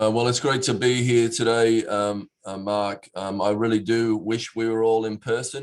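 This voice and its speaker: At a moderate pace with hardly any pauses, the voice runs in a monotone, flat intonation. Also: man, medium pitch for a man. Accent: Australian. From Australia, Perth. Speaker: city mayor. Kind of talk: prepared speech. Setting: virtual event. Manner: hesitant, many fillers.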